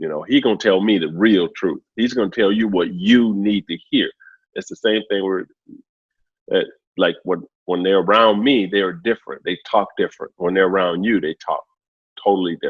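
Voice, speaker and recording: At a moderate pace, a man speaks in a fairly low pitch with fairly even intonation. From Alabama. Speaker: entertainer and former basketball coach. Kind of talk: casual interview conversation.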